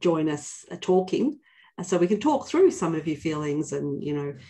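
A woman's dark, mellow tone against a quiet background. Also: fairly low pitch for a woman, ordinary pitch variation, moderate pace. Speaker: company leader hosting a webinar. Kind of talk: webinar hosting talk. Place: office. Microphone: video call.

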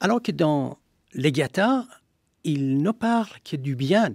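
A man with a Persian accent at a very slow pace, lively in intonation, with a dry sound with no echo and a quiet background. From Iran, Shiraz; Iran. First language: Persian (speaking French). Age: 60s. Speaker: historian. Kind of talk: radio interview. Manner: halting. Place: studio.

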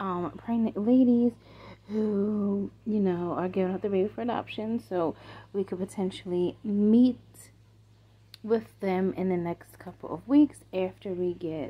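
A woman speaks quietly at a fairly slow pace, her medium-pitched voice carrying a slightly husky edge and ordinary pitch variation.

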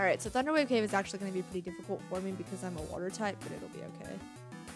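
Pitch varies in an ordinary way as an unforced voice reads.

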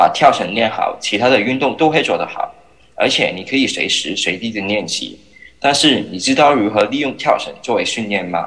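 Using a plain, everyday voice, a man with a medium pitch speaks at a moderate pace with lively intonation. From Hong Kong. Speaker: startup founder and jump rope athlete. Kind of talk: startup pitch. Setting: remote video link.

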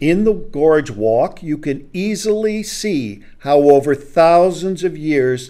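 A man at a very slow pace against a quiet background. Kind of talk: lecture. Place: studio. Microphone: studio mic.

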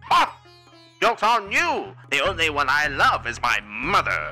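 Over faint music in the background, a man does a put-on character voice at a moderate pace. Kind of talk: voice trolling in online game chat. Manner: old-time 1920s radio announcer style; theatrical, showman-like.

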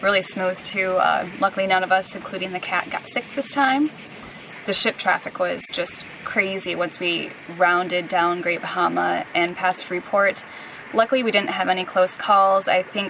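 This woman's voice sounds dry, with no echo and light background noise. She keeps a moderate pace. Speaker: sailing vlogger. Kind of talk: casual vlog chat. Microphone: camera far.

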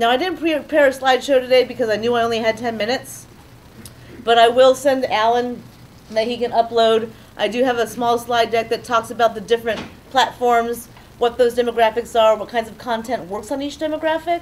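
In a plain, everyday voice, the speaker keeps a fairly even intonation and a fairly quick pace. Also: woman, fairly high pitch for a woman. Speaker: social media strategist. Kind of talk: panel presentation. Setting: live event with audience.

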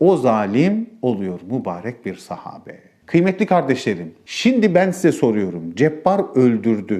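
The pace is very slow, yet there are hardly any pauses. The pitch swings very widely. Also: man. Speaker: preacher. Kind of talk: sermon.

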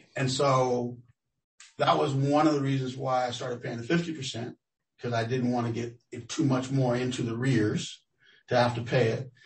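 This man has a somewhat breathy voice with an American accent. His pitch is medium and his intonation fairly even. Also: moderate pace. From Los Angeles, US. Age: 60s. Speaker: tenant interviewee. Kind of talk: research interview. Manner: halting.

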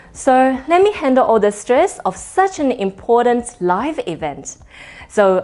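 A woman talks at a fairly slow pace. Behind her, faint music can be heard. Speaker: wedding MC. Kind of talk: promotional self-introduction to camera. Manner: elegant, composed. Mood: warm, friendly, confident. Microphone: lapel.

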